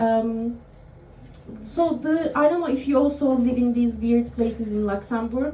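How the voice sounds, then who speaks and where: A woman with a Turkish accent speaks at a fairly slow pace, high in pitch with lively intonation. Audible room echo and noticeable background noise fill the recording. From Turkey. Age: 30s. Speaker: stand-up comedian. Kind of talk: stand-up. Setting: stage with audience in a bar. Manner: halting, many fillers.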